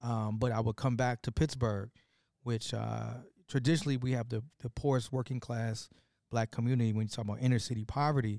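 A man's dark, mellow voice at a medium pitch, fairly quick in pace with fairly even intonation, on a very clean recording with a silent background and a dry, close sound with no echo. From US Midwest, south side of Chicago. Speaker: hip-hop artist and activist. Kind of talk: casual interview conversation. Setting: live at a conference.

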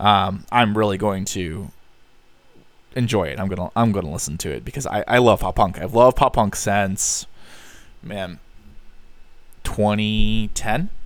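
A man's fairly low voice with vocal fry and long, frequent pauses, on a very clean recording with a silent background. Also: ordinary pitch variation, fairly slow pace. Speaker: podcast host. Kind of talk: casual solo monologue. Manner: hesitant, many fillers.

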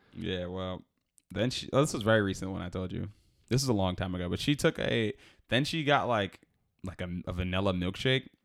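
An American accent marks this man's fairly quick speech with lively intonation. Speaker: podcast co-host, restaurant server. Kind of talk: casual chat.

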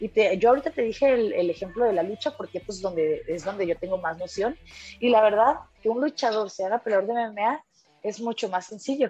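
A woman with a plain, everyday voice, fairly high in pitch, with ordinary pitch variation and a moderate pace. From Mexico. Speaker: mixed martial arts fighter. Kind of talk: interview.

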